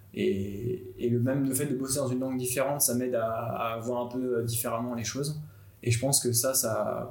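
At a medium pitch and moderate pace, a man talks with fairly even intonation in audible room echo. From France, Nantes. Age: 20s. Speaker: graphic designer and videographer. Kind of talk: personal story.

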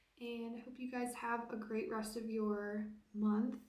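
A woman speaks very slowly in a fairly high, somewhat breathy voice with a dark, mellow tone. Her intonation is flat and monotone, and the room adds an audible echo. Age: 20s. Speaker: podcast host. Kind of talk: casual solo monologue.

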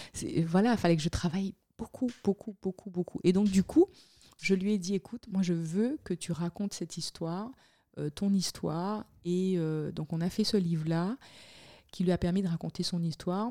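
A woman's dark, mellow tone at medium pitch, with a dry, close sound with no echo in a very clean recording with a silent background. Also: ordinary pitch variation, moderate pace. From Guadeloupe (Le Moule). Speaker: communications entrepreneur and parliamentary aide. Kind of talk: casual interview.

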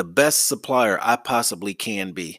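This man has an American accent and a bright, sharp, passionate tone at a moderate pace. The recording is very clean, with a silent background and a dry, close sound with no echo. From US South, Alabama. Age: 50s. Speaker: business podcast host. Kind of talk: solo podcast monologue.

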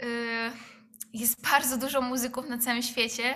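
A woman's bright, sharp voice, high in pitch. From Poland, Rzeszów. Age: 20s. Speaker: drummer. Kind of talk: interview.

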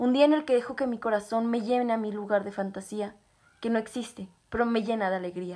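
A woman speaks at a fairly quick pace with a fairly high pitch, ordinary pitch variation and a plain, everyday voice. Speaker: poet reading own poem. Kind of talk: poem performed, reflective reading aloud. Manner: rhythmic, rhyming cadence that swells with emotion near the embrace.

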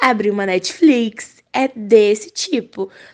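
In an ordinary speaking voice, a woman talks at a fairly high pitch with ordinary pitch variation. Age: young. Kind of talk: recorded voice message. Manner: casual.

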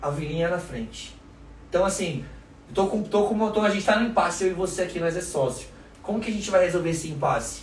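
Over noticeable background noise and audible room echo, a man talks at a very fast pace in a high pitch with ordinary pitch variation. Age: 30s. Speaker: restaurant owner, entrepreneur. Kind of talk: casual interview chat.

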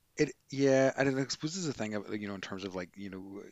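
A man speaks in a Northern Irish accent. His pitch variation is ordinary. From Northern Ireland. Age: 40s. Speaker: podcast co-host, yoga teacher. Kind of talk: casual chat.

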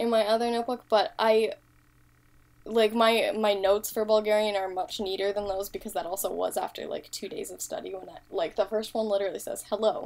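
Speaking in a normal speaking voice with an American accent, a woman with a fairly high pitch goes at a fairly quick pace, showing ordinary pitch variation and big swings in loudness. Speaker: language-learning podcast co-host. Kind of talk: casual chat.

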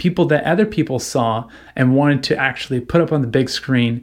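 A man with an unremarkable speaking voice talks at medium pitch and a moderate pace. The recording is very clean, with a silent background. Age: 30s. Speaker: video creator. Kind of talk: casual monologue.

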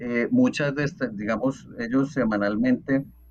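He talks fairly slowly, his pitch varying in an ordinary way. His is an unremarkable speaking voice, pitched in the medium range for a man. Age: 40s. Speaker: TikTok content creator and electrical engineer. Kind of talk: casual interview.

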